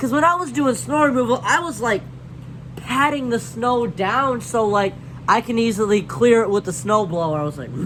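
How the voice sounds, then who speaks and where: A man with an extremely high pitch speaks in an animated tone at a moderate pace, with very wide pitch swings. Noticeable background noise sits behind him. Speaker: YouTuber. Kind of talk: casual storytime monologue.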